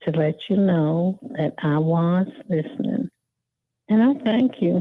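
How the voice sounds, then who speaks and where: With an Alabama accent, a woman talks very slowly, her pitch swinging very widely. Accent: Southern US (Alabama). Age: 70s. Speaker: caller. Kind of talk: casual chat. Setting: phone call. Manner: halting.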